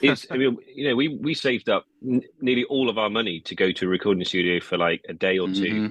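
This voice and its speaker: With an English accent, a medium-pitched man talks at a very fast pace with lively intonation and hardly any pauses. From England, Peterborough area (middle England). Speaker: musician. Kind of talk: podcast interview.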